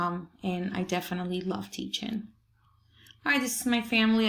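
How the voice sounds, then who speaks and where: A woman speaks with a Spanish accent. Her pace is moderate. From Peru. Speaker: Spanish teacher. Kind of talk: presentation to parents. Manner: hesitant, many fillers.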